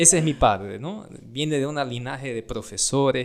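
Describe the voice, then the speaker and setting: A man talks at a fairly slow pace. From Brazil. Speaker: doctor. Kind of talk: casual podcast chat.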